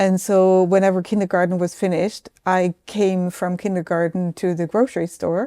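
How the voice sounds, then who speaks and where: With a German accent and a dark, mellow tone, the speaker talks in a flat monotone at a moderate pace with hardly any pauses, in a dry, close sound with no echo. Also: woman, medium pitch for a woman. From southern Germany, Swabia. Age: 60s. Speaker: business executive. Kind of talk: interview.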